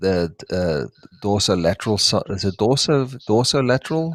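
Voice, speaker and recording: With a South African accent, a man speaks at a moderate pace in a fairly low voice, the sound dry and close with no echo and the recording very clean against a silent background. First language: Afrikaans. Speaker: reptile breeder. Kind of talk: live stream chat. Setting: live stream. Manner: halting, searching for words.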